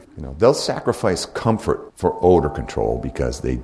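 A man speaks fairly quickly while noticeable noise sits in the background. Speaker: hunting instructor. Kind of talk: seminar lecture. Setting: live class with audience.

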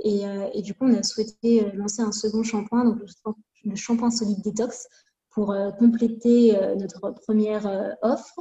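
A woman speaks at a very slow pace. Her fairly high voice stays monotone and flat. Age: 20s. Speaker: cosmetics formulator and brand co-founder. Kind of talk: interview.

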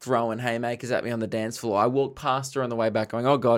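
A man speaks in an Australian accent at a medium pitch, his intonation monotone and flat. The recording is very clean with a silent background. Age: 20s. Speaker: comedian. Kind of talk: casual chat.

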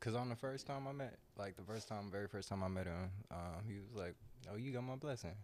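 The man uses a normal speaking voice with fairly low pitch. He moves at a fairly quick pace with ordinary pitch variation. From Southern California, Long Beach and Orange County. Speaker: host's fiance. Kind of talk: casual chat.

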